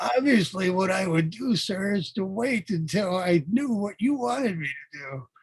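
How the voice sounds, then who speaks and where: In a put-on character voice pitched high, a man talks at a moderate pace with hardly any pauses. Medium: actual play. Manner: guarded, evasive.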